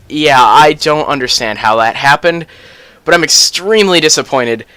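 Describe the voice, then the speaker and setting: A man speaks with a fairly high pitch, lively intonation and a bright, sharp tone. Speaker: gaming YouTuber. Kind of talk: casual gaming commentary. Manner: fast; casual, filler-heavy.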